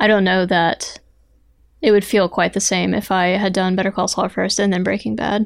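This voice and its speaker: A woman speaks quietly at a moderate pace. Her medium pitch follows a fairly even intonation. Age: 30s. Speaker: podcast co-host. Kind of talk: casual chat.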